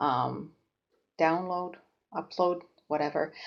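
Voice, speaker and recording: Here is a woman with a Finnish accent. Her pitch is fairly low. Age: 40s. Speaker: knitting podcaster. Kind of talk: casual vlog chat. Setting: home kitchen. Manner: halting, many fillers.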